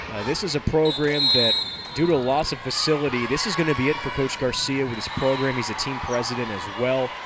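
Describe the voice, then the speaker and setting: A man with a fairly high voice and ordinary pitch variation talks fairly quickly amid noticeable background noise. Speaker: play-by-play announcer. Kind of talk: live sports commentary. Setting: arena broadcast.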